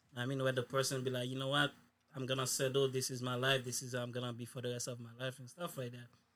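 At a very fast pace, a man talks with monotone, flat intonation. His pitch is medium. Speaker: podcast host. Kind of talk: casual chat.

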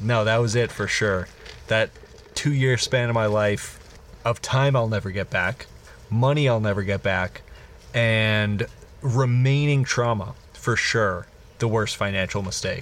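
With noticeable background noise behind him, a man speaks fairly slowly at a medium pitch with long, frequent pauses, fairly even intonation and very even loudness. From Illinois. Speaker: podcast co-host. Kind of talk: improvised comedic storytelling; casual chat.

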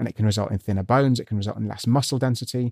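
A man with a British accent talks very fast in a dark, mellow tone at medium pitch, keeping his intonation fairly even. The recording is very clean, dry and close, with no echo and a silent background. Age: 30s. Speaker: scientist. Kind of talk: interview.

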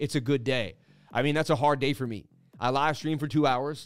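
In a very clean recording with a silent background, a man with a fairly high pitch speaks in an animated tone at a moderate pace. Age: 30s. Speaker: crypto trading streamer. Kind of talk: live stream market analysis.

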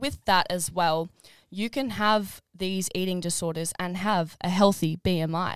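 This woman has an Australian accent and a medium pitch. She talks fairly slowly, with ordinary pitch variation. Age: 20s. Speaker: podcast co-host. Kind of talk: casual chat.

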